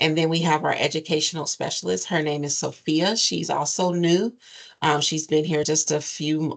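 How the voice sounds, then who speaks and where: Vocal fry in a woman's very deep, low voice, the pace moderate. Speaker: nonprofit program administrator. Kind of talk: advisory meeting presentation.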